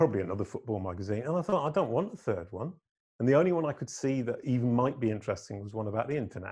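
Against a quiet background, a man speaks at a very fast pace in a medium pitch, somewhat breathy, with a dark, mellow tone and very wide pitch swings. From northern England, Leeds. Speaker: digital marketer and musician. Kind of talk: interview conversation. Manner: animated.

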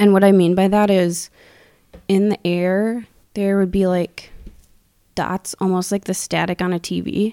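In an Upper Midwest accent, a woman of medium pitch speaks at a fairly slow pace with fairly even intonation and a dark, mellow tone, the sound dry and close with no echo. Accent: Upper Midwest American. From US Midwest, Wisconsin. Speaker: accountant and self-described intuitive. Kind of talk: casual chat.

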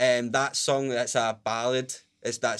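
A man with a Glaswegian accent, flat and monotone in intonation, at a fairly quick pace. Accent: Glaswegian Scottish. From Scotland, Glasgow (Pollok, south side). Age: 20s. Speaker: ukulele player and musician. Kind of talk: casual interview chat. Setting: studio.

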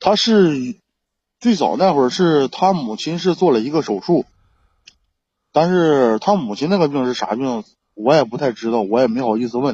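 The speech moves at a moderate pace with very wide pitch swings and long, frequent pauses. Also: man, fairly high pitch for a man. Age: 30s. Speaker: caller seeking relationship advice. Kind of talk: call-in advice chat. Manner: halting. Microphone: laggy connection.

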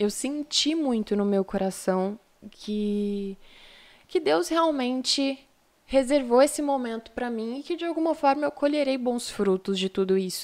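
A woman speaks at a fairly slow pace with a high pitch. Long, frequent pauses break up her speech. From São Paulo city, Brazil. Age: 20s. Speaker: model and lawyer. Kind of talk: podcast interview. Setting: live-streamed studio podcast.

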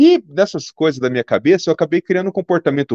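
This man has a high pitch, a dark, mellow tone and a very fast pace, recorded with a dry, close sound and no echo. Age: 50s. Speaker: pediatric neurologist. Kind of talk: interview.

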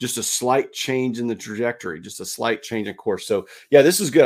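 At a fairly quick pace, a man with a plain, everyday voice speaks at medium pitch on a very clean recording with a silent background. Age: 50s. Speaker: podcast co-host. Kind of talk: casual chat.

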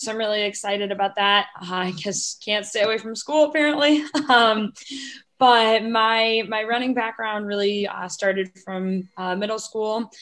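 A woman with an American accent speaks at a moderate pace and fairly high pitch in an ordinary speaking voice, with ordinary pitch variation. The recording is very clean, with a silent background. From Ohio, Cleveland. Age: 20s. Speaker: former college runner. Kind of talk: casual chat.

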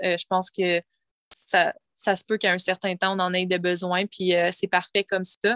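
At a fairly slow pace, a woman with a Quebec accent speaks at a medium pitch in a bright, sharp tone, the sound dry and close with no echo. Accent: Québécois French. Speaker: spiritual coach and former hairdresser. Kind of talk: casual interview chat. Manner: halting, many repetitions.

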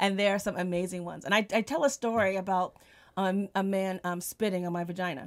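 A woman with an American accent talks at a very fast pace, her medium pitch varying in an ordinary way. The recording is very clean, with a silent background. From New Jersey. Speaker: comedian. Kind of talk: casual chat. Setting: studio.

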